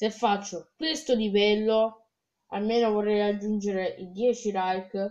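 Speech comes at a very slow pace with fairly even intonation over a quiet background. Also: woman. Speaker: gamer. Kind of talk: casual gameplay commentary. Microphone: phone near.

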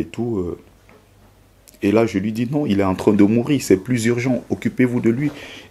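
This man's voice sits fairly low in pitch, with a dark, mellow tone and a moderate pace. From Cameroon. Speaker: former migrant, author. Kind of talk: testimony. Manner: halting. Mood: grave, emotional retelling. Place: studio.

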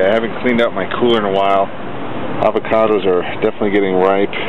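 The voice moves at a fairly quick pace with ordinary pitch variation, dry and echo-free, against loud background noise. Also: man. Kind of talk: casual vlog chat. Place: street. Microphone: phone near.

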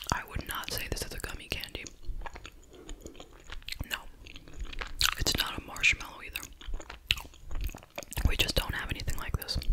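Whispering and soft-spoken, the voice keeps a moderate pace with long, frequent pauses. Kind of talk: casual vlog chat. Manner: soft ASMR whisper, close and intimate.

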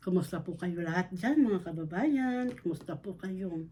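Somewhat breathy and dark, mellow in tone, a woman talks at a fairly slow pace with a medium pitch. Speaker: vlogger. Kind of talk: casual vlog narration. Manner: animated.

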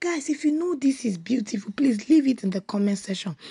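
Her voice is high-pitched with a dark, mellow tone, and the woman speaks at a moderate pace against a quiet background. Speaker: vlogger. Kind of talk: casual vlog chat. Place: car. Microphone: phone near.

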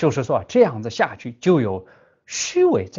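A man is speaking. He has a Tibetan accent. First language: Tibetan (speaking Chinese). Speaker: Buddhist teacher. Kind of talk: dharma lecture. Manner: halting, many filler sounds.

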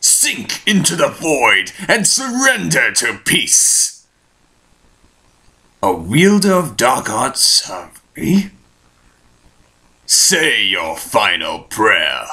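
A man drags through a put-on character voice very slowly, leaving long, frequent pauses. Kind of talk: villain voice acting. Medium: fan dub. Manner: grave, imperious, slow.

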